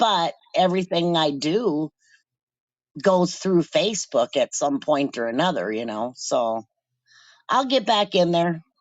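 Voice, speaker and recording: A woman with a fairly low voice shows vocal fry and very wide pitch swings. Her speech has long, frequent pauses. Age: 60s. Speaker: caller and cat colony caretaker. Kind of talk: casual chat.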